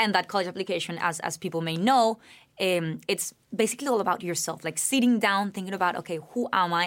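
On a very clean recording with a silent background, a woman with a Spanish accent speaks at a fairly quick pace, her medium-pitched voice showing ordinary pitch variation. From Colombia, Bogotá. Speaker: university student. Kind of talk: interview.

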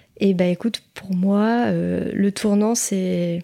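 Recorded very cleanly against a silent background, a woman with a medium pitch and a dark, mellow tone speaks with fairly even intonation. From Île-de-France, France. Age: 30s. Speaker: energy healer. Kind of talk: personal testimony interview. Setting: treatment room at her home.

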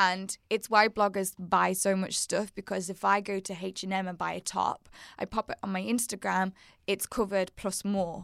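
In a very clean recording with a silent background, a woman with a Scouse accent speaks at a medium pitch and a moderate pace in a monotone, flat intonation. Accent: Wirral Scouse, northwest English. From the Wirral, northwest England. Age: 30s. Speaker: fashion and beauty blogger, YouTuber, podcast host. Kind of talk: casual interview chat.

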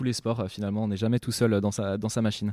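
A man talks in a monotone, flat delivery at a fairly low pitch, his tone dark and mellow. The sound is dry and close with no echo, on a very clean recording with a silent background. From Brittany, France (Saint-Malo, bay of Mont-Saint-Michel). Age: 20s. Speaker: land sailing champion and student. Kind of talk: interview before a live audience. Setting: school, in front of an audience. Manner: hesitant, frequent fillers and repetitions.

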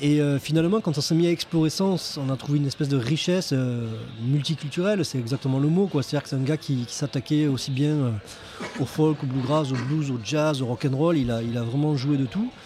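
Someone with a southern French accent talks at a fairly quick pace with ordinary pitch variation. Noticeable background noise runs under the voice. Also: man, fairly high pitch for a man. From southern France. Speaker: guitarist. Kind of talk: casual interview chat. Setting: pub table.

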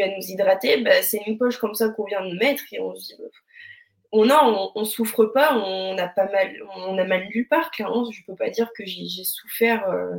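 A woman talks at a moderate pace in a normal speaking voice. Her pitch is fairly high, with fairly even intonation. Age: 20s. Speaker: leukemia survivor, preschool teacher. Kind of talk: testimony.

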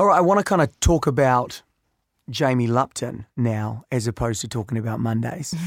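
A man's plain, everyday voice at medium pitch, fairly quick with lively intonation, dry and close with no echo on a very clean recording with a silent background. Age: 30s. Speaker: podcast host. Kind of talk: interview.

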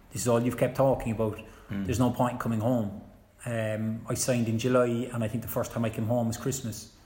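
A man speaks with a Cork accent at a medium pitch, his tone dark and mellow and somewhat breathy. His delivery is fairly quick, with monotone, flat intonation. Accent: Cork Irish. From Cork, Ireland. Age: 30s. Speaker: retired footballer and coach. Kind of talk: casual interview chat.

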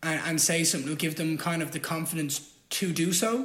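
Speaking at a fairly quick pace, a man has an Irish accent and a high pitch. His intonation stays fairly even. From Ireland. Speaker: fighter. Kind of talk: casual chat.

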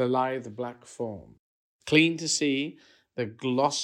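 Quiet fills the background while the text is read aloud plainly.

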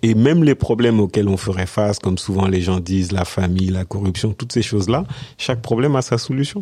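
With a dark, mellow tone, a man talks at a fairly quick pace and varies his pitch in an ordinary way. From France, Senegal-born. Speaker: business consultant. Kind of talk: podcast interview. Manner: hesitant, many fillers.

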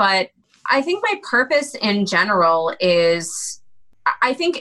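Bright and sharp in tone, a woman speaks at a very slow pace with an American accent. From rural New York. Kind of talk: interview.

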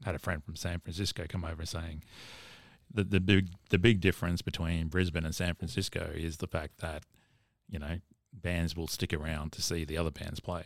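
A man with an Australian accent, very deep and low in pitch, at a fairly quick pace with fairly even intonation, on a very clean recording with a silent background. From Queensland, Caboolture. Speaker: musician. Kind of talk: casual chat.

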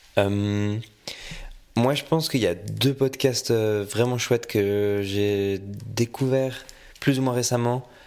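A man's fairly low voice, very slow and fairly even in intonation, on a very clean recording with a silent background. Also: long, frequent pauses. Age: 20s. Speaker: student guest. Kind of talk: casual chat.

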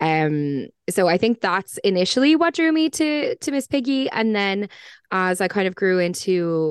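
Speaking in an Irish accent, a woman goes at a fairly slow pace with ordinary pitch variation. The sound is dry and close with no echo and a quiet background. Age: 30s. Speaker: podcast guest. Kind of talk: casual chat.

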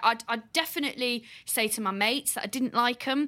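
In an English accent, a woman speaks at a moderate pace with a bright, sharp tone, fairly high pitch and ordinary pitch variation. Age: 20s. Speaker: podcast co-host. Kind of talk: casual chat. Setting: video call.

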